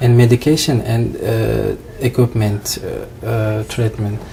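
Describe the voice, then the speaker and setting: A man talks at a very slow pace while noticeable noise fills the background. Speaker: visiting doctor in training. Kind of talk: interview. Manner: halting.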